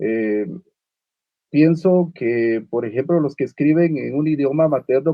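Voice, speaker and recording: Speaking at a fairly slow pace, a man uses a fairly high pitch with ordinary variation. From Guatemala (Uspantán, Quiché). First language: Uspantek (Mayan) (speaking Spanish). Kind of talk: panel discussion. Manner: halting, many fillers and repetitions.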